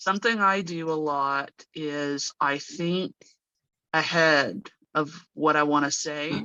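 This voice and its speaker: With an American accent, a woman speaks in a very deep, low pitch and a bright, sharp tone. Her pace is very slow, with long, frequent pauses. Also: ordinary pitch variation. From United States. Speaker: native English speaker guest. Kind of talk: casual interview. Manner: slow, deliberate with pauses.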